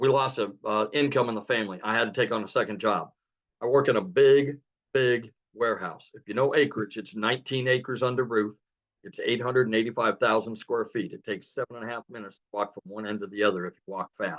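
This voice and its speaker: A man with a normal speaking voice talks at medium pitch and a fairly quick pace, with ordinary pitch variation. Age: 60s. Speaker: realtor and community member. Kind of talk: testimony. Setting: webinar.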